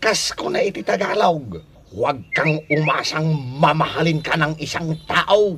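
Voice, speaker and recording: The man puts on a character voice, pitched fairly high and delivered fairly slowly. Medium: audio drama. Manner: teasing, laughing.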